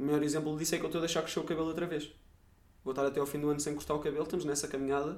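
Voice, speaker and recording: A man speaks with a European Portuguese accent. Room echo is audible. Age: 20s. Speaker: podcast host. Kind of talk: casual monologue.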